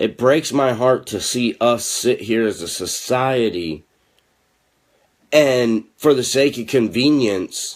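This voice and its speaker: In an American accent, a man speaks at medium pitch with ordinary pitch variation and a very slow pace. The recording is very clean with a silent background. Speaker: political activist and web show host. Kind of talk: political commentary monologue. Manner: quieter, restrained delivery.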